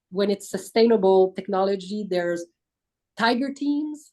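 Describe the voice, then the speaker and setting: A woman with a French accent speaks at a moderate pace. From France. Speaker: business aviation industry executive. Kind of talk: webinar panel discussion.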